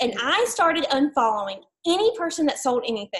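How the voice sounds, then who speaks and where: In an Alabama accent, a woman speaks at a moderate pace. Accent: Southern US (Alabama). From US South, Mobile, Alabama. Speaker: network marketing distributor. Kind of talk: testimony.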